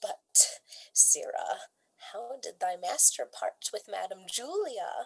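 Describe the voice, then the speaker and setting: A woman does a put-on character voice at a fairly slow pace. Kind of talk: Shakespearean stage comedy. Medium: stage play. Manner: bantering, sarcastic.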